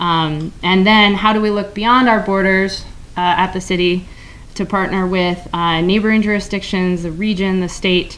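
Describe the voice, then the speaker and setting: The speech is delivered in a monotone, flat intonation with audible room echo. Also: woman, medium pitch for a woman. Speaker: city government official. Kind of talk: conference presentation. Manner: fast.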